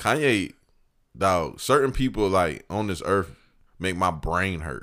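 With an American accent, a man speaks at a fairly slow pace in a very deep, low voice with vocal fry and lively intonation, captured on a very clean recording with a silent background. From US South, Georgia (Evans). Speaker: podcast host, guest co-host. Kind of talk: casual chat.

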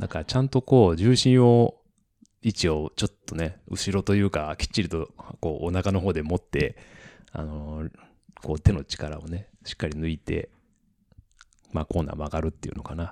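At a moderate pace with long, frequent pauses, a man speaks in a very deep, low pitch with a dark, mellow tone and ordinary pitch variation, in a dry, close sound with no echo. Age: 40s. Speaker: company president and cyclocross racer. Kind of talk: casual chat.

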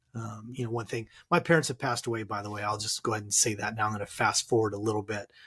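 On a very clean recording with a silent background, a man with a Californian accent talks at a fairly low pitch with fairly even intonation. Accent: Californian American. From Southern California. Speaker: author and transformational coach. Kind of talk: interview about personal loss.

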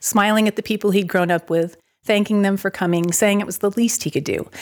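In a very clean recording with a silent background, a woman talks at a fairly quick pace. Hers is an unremarkable speaking voice with ordinary pitch variation. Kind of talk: reading aloud a short story.

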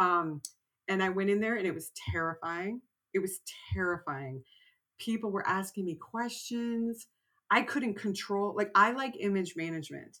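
Speaking at a moderate pace with an American accent, a woman uses a medium pitch, ordinary pitch variation, and an animated, bright, sharp tone. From Texas. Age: 50s. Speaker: writer. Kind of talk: interview.

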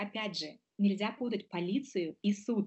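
A somewhat breathy, medium-pitched female voice. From Moldova. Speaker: lawyer. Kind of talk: interview.

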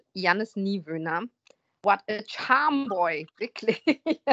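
A woman's bright, sharp tone with lively intonation, in a dry, close sound with no echo. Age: 40s. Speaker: podcast host. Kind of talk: casual chat.

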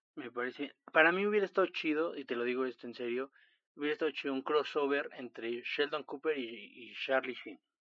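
Pitched fairly high, a man speaks in an ordinary speaking voice at a fairly quick pace with ordinary pitch variation. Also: big swings in loudness. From Chiapas, Mexico. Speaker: podcast co-host, friend of host. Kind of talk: casual chat.

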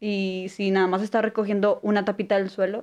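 Against a quiet background, a woman with a fairly high pitch speaks in an unremarkable speaking voice. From Apodaca, Nuevo León, northern Mexico. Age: 20s. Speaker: international relations student. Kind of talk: casual interview.

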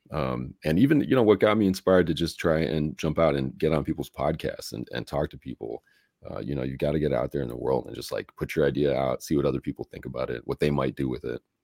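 Very fast and with hardly any pauses, a man with an American accent speaks in a very deep, low pitch with ordinary variation and vocal fry. The sound is dry and close, with no echo. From US Midwest, Chicago. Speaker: musician and software founder. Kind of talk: interview. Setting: live-streamed video interview.

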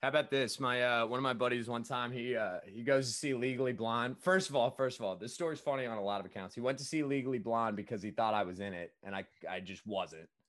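Energetic and animated in tone, a man talks at a very fast pace. He has a medium pitch and ordinary pitch variation. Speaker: podcast host. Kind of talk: casual interview chat. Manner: energetic, animated.

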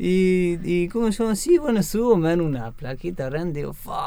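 A man with a high voice talks at a fairly slow pace. Noticeable background noise can be heard. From Patagonia, Chubut, Argentina. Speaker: marathon runner. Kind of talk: interview. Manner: halting.

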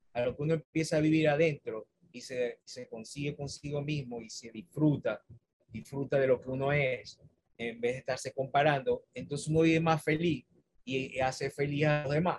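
Somewhat breathy and fairly high-pitched, a man speaks at a moderate pace with fairly even intonation and big swings in loudness. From Venezuela, Maracaibo. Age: 50s. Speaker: university staff member and author. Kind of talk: interview.

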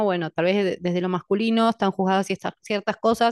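An ordinary speaking voice at a fairly quick pace, fairly even intonation, dry close sound with no echo and a quiet background. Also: woman. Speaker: podcast host and coach. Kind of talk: casual interview.

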